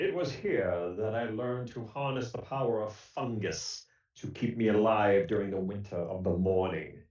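Putting on a booming character voice, a man speaks at a moderate pace and medium pitch with ordinary pitch variation and a slight echo.

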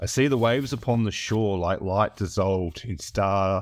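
Fairly low-pitched man with an Australian accent, moderate pace and ordinary pitch variation, in a very clean recording with a silent background. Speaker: writer and musician. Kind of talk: self-interview monologue. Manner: halting, filled with ums.

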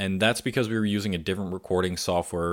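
A man with an American accent speaks at a very deep, low pitch. The recording is very clean, with a silent background. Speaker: podcaster and vegan content creator. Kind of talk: casual interview chat.

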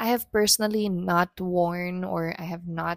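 With a dry, close sound and no echo, a woman speaks in a relaxed tone at a fairly low pitch. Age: 30s. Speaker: solo podcast host. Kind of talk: personal reflective monologue. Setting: alone at home at dining table. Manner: hesitant, many fillers.

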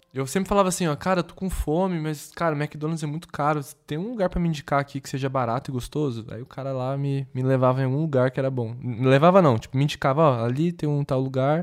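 Very fast speech from a man with fairly high pitch, ordinary pitch variation and hardly any pauses, in a very clean recording with a silent background. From Brazil, Paraná (Londrina). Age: 20s. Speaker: designer. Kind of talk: casual chat.

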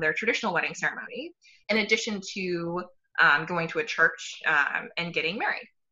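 An unremarkable speaking voice, a woman talks fairly quickly at medium pitch with ordinary pitch variation. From Texas. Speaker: pediatric doctor. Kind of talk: casual chat.

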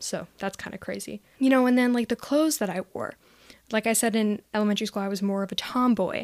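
In a very clean recording with a silent background and a dry, close sound with no echo, a woman with a plain, everyday voice speaks at a moderate pace and a fairly high pitch. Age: young. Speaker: podcast host. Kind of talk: personal storytelling monologue. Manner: casual, frequent laughter and filler words.

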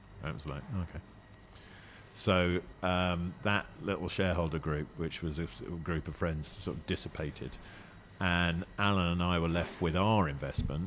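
A southern English accent at a moderate pace, with long, frequent pauses. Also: man, very deep, low pitch for a man, fairly even intonation. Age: 50s. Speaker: restaurant owner. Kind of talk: casual interview. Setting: in a restaurant. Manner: halting.

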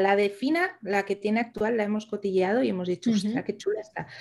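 An ordinary speaking voice, this woman's is fairly high in pitch, lively in intonation and fairly quick in pace. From Asturias, Spain. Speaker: podcast co-host, virtual assistant. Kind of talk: casual chat.

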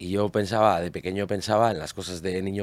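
Speaking at a fairly quick pace, a man has a very deep, low pitch. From Basque Country, Spain (Barakaldo). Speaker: guitarist. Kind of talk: casual chat. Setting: studio.

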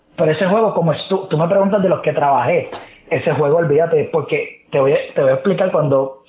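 Noticeable background noise sits behind this man's speech. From Puerto Rico, San Juan area. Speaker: sports reporter and analyst. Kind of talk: casual interview chat.

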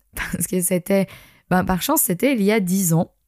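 Here a woman speaks at medium pitch. Her tone is dark and mellow. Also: dry, close sound with no echo. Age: 30s. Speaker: yoga teacher and podcast host. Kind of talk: personal storytelling monologue.

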